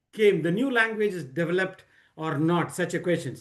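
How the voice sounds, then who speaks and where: The man's voice is high-pitched with an Indian accent. His intonation is lively. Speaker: book discussion leader. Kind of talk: presentation at online reading circle. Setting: video call. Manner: halting, many fillers and repetitions.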